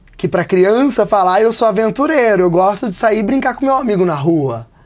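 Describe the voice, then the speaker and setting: The man's high-pitched voice has lively intonation and very even loudness. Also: fairly quick pace. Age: 30s. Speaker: storyteller. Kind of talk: interview.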